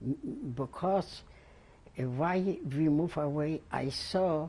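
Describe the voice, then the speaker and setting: In a dark, mellow tone, a woman speaks at a very deep, low pitch with ordinary pitch variation. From Poland, Lodz. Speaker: Holocaust survivor. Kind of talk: oral history interview. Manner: halting, many repetitions.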